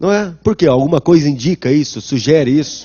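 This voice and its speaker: Using lively intonation, a man with a fairly high pitch talks in an ordinary speaking voice. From São Paulo city, Brazil. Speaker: law professor. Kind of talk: lecture. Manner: conversational, rhetorical questions.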